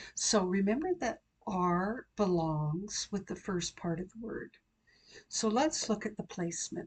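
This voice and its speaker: Somewhat breathy, a woman speaks at a medium pitch and a fairly slow pace. Her intonation is lively. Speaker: accent coach, pronunciation teacher. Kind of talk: pronunciation tutorial, instructional talk to camera.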